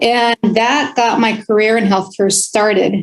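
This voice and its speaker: A woman's fairly slow, fairly evenly intoned speech. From California, Oxnard. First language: Spanish. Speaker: health plan executive. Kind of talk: interview.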